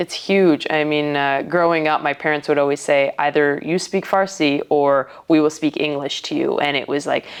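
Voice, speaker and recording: A woman with a Canadian accent speaks at a moderate pace in a very deep, low pitch, her intonation fairly even. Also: hardly any pauses. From Vancouver, Canada. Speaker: professional boxer, world champion. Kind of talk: interview.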